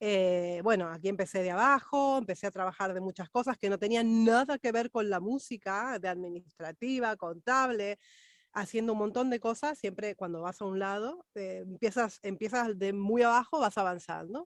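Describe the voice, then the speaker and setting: A woman in a plain, everyday voice talks at medium pitch and a moderate pace with ordinary pitch variation and hardly any pauses, the sound dry and close with no echo against a quiet background. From Argentina, Buenos Aires. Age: 40s. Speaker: vocal coach. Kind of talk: interview.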